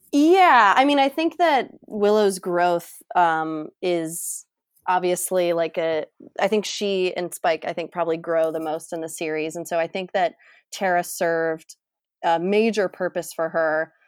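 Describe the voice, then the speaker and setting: In a very clean recording with a silent background and a dry, close sound with no echo, a woman with an unremarkable speaking voice talks at a fairly slow pace, her pitch fairly low and its variation ordinary. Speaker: podcast host and writer. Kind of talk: casual chat.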